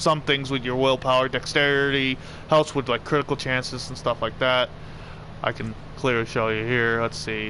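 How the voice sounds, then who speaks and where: Noticeable background noise sits behind a man's voice. He speaks at a medium pitch with monotone, flat intonation. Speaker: gaming streamer. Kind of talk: live gameplay commentary. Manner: fast; self-correcting, halting.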